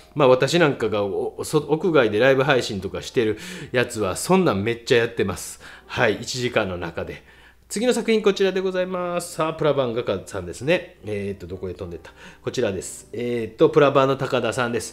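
The pitch swings very widely at a fairly quick pace. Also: man. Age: middle-aged. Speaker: painter and art critic. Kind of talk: casual critique of viewers' artworks, read-out submissions. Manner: casual, rambling, self-deprecating.

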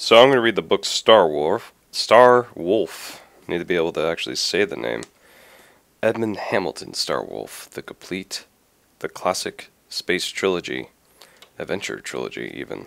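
A man with a very deep, low pitch and vocal fry talks at a moderate pace. His pitch swings very widely, and his loudness rises and falls in big swings. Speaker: amateur audiobook reader. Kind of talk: casual talk to camera.

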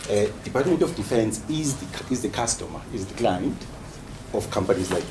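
Background noise is noticeable here. A man speaks at a moderate pace. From South Africa, KwaZulu-Natal (Umlazi township); KwaZulu-Natal. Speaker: PhD student and HR executive; presenter. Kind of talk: research presentation and discussion. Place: meeting room. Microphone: camera far.

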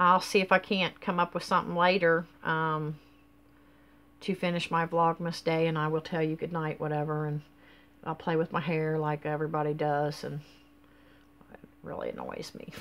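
A woman's very deep, low pitch in a monotone, flat intonation, at a moderate pace with long, frequent pauses. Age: 50s. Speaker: vlogger. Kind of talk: casual vlog monologue. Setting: at home, filming on a selfie stick. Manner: rambling, hesitant with many fillers. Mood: relaxed, chatty. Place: home room. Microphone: webcam.

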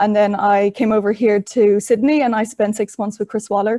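A woman with a Dublin accent talks at a fairly quick pace, her fairly high pitch carrying a dark, mellow tone. The background is quiet. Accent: Irish (Dublin). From Ireland, Dublin. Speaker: trainee in horse racing leadership program; panelist. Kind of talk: webinar presentation. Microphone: video call.

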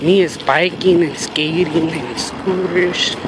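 A man's dry, echo-free voice amid loud background noise. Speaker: vlogger. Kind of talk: casual vlog chat. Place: street.

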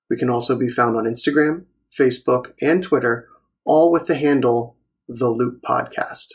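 Ordinary pitch variation and a moderate pace in a man's medium-pitched, somewhat breathy voice. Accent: American. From Maryland. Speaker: plastic surgery resident. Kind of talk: scripted narration.

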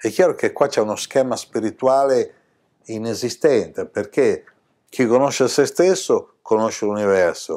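Loudness stays very even as the voice moves at a fairly slow pace against a quiet background. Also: man. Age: 60s. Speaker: spiritual teacher. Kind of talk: spiritual talk to camera. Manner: animated. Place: home room.

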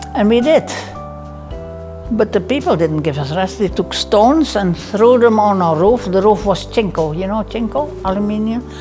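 A woman speaks at a moderate pace with lively intonation and a medium pitch. Clear music plays in the background. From Netherlands. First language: Dutch. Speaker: midwife. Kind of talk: interview answer. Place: home room. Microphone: lapel.

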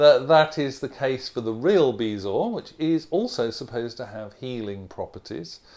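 A man speaks at a fairly slow pace in a dark, mellow tone against a quiet background. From Australia. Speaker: accent reduction coach. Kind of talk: casual talk to camera, vocabulary lesson. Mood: relaxed, friendly, amused. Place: home room. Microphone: lapel.

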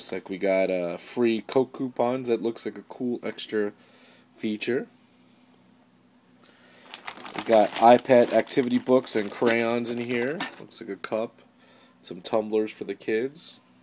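A man talks at a fairly slow pace with fairly even intonation and long, frequent pauses, over light background noise. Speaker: event host unboxing. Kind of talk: casual unboxing narration. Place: home room. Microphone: phone near.

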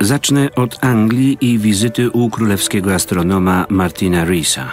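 A man's fairly low voice at a moderate pace, with ordinary pitch variation and very even loudness, dry with no echo, faint music in the background. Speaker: voice-over reader. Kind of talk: documentary voice-over narration. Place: studio. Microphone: studio mic.

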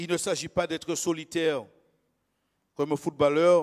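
Only a man's voice is heard, over a quiet background. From Martinique (Le Lorrain); Martinique. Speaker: lay preacher. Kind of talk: sermon. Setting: church. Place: church. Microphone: handheld.

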